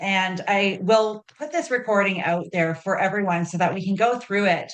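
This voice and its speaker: A woman's plain, everyday voice in a Canadian accent, at medium pitch, with ordinary pitch variation and a moderate pace. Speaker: advocacy organization leader. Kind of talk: meeting facilitation.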